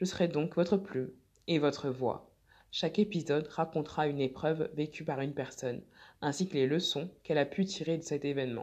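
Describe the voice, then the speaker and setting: A woman with a very deep, low pitch speaks at a fairly quick pace with ordinary pitch variation over a quiet background. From France. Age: 30s. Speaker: podcast host and blogger. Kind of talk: scripted narration.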